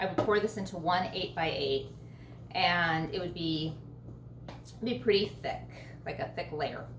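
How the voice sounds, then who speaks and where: Against noticeable background noise and audible room echo, a woman speaks at a fairly slow pace with long, frequent pauses. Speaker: home baking channel host. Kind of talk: cooking tutorial. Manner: casual, filler-heavy.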